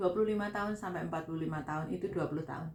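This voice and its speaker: With ordinary pitch variation, a woman talks in a fairly low pitch. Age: 40s. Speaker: vlogger, migrant domestic worker. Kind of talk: casual vlog talk. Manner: conversational.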